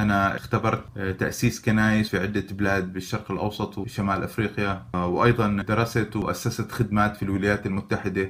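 Moderate pace with monotone, flat intonation. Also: man. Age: 40s. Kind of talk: tutorial.

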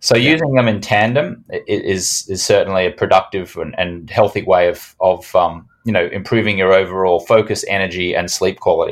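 A man with an Australian accent at a moderate pace, hardly any pauses, on a very clean recording with a silent background. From Australia, Brisbane. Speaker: sleep product entrepreneur. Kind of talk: podcast interview.

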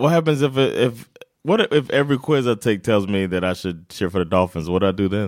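Heard in a very clean recording with a silent background, a man with an ordinary speaking voice talks at a fairly quick pace, at a fairly low pitch with lively intonation. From United States. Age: 30s. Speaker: sports podcast co-host. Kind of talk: casual chat. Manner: laughs often.

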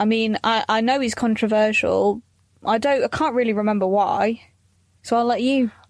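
With a British accent, a woman speaks at a moderate pace and a fairly high pitch, her intonation fairly even and her loudness very even, on a very clean recording with a silent background. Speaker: podcast host. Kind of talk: casual chat, comedy podcast.

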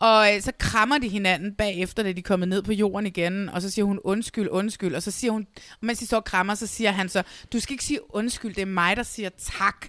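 A woman talks fairly quickly in a plain, everyday voice at medium pitch. Her intonation stays fairly even while her loudness swings a lot. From Denmark, South Zealand (Næstved). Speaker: podcast host. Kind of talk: casual chat. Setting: video call.

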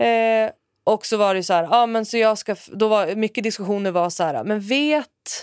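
A normal speaking voice with ordinary pitch variation and a moderate pace, in a dry, close sound with no echo on a very clean recording with a silent background. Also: woman, fairly high pitch for a woman. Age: 30s. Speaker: developer intern, podcast host's sister. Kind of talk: casual chat. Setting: studio.

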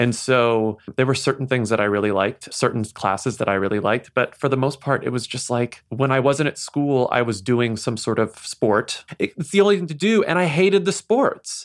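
This man keeps a moderate pace and barely pauses. His intonation is lively. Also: medium pitch for a man. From Texas, small town near San Antonio. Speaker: podcast host and novelist. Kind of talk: interview.

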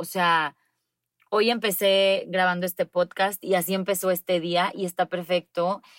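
A woman talks at a fairly slow pace in a normal speaking voice at medium pitch. The sound is dry and close with no echo, on a very clean recording with a silent background. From Mexico, Monterrey. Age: 30s. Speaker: public relations consultant. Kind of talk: interview.

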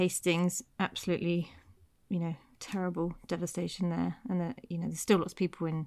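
With a West Country accent, a woman talks at a moderate pace in a fairly low pitch and fairly even intonation, on a very clean recording with a silent background. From Devon, England. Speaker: podcast co-host. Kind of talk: casual conversational chat.

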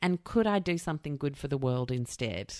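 In a very clean recording with a silent background and a dry, close sound with no echo, a woman with a very deep, low pitch speaks at a moderate pace with lively intonation. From outside Australia. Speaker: podcast host. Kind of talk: casual chat.

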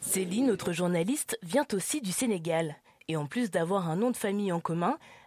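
On a very clean recording with a silent background, a woman speaks at a medium pitch. Her sound is dry and close with no echo, and her pitch swings very widely. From France, Lyon. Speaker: podcast host. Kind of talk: scripted narration.

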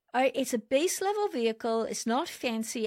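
The sound is dry and close, with no echo. A woman speaks in a Welsh accent. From South Wales. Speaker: automotive leadership consultant. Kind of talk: interview conversation. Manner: animated.

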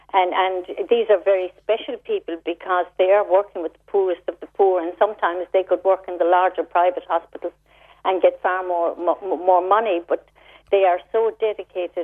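Speaking with a Cork accent, the voice stays monotone and flat while showing big swings in loudness. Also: woman, medium pitch for a woman, moderate pace. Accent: Cork Irish. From Ireland, Cork. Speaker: charity founder. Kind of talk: radio interview.

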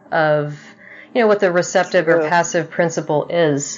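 With an American accent, a woman speaks in an unremarkable speaking voice that sits fairly low in pitch. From Texas, north of Houston. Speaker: podcast host. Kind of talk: interview.

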